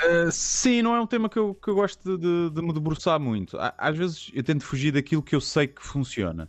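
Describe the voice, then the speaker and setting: This man talks at a fairly quick pace with hardly any pauses. His pitch is fairly high and his intonation lively. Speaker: comedian. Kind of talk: radio interview. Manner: reserved.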